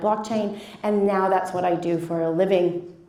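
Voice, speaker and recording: This speaker talks at a fairly quick pace with a Canadian accent. Noticeable background noise and audible room echo fill the recording. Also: woman. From Canada. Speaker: blockchain educator. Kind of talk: conference presentation. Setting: stage with audience.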